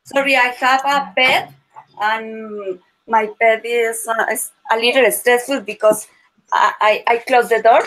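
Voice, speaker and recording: A woman with a Spanish accent speaks at a fairly slow pace in a fairly high pitch, her intonation fairly even. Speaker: language student. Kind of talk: casual chat. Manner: halting.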